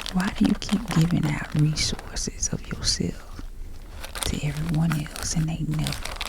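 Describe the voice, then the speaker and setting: A woman is whispering. Noticeable background noise sits underneath. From Southern US. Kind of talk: motivational pep talk. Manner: kind, soothing.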